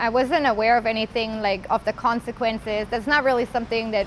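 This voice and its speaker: Fairly high pitch from a woman in a German accent. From Germany, Bavaria. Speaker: former inmate sharing life story. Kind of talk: interview testimony. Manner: hesitant, with fillers.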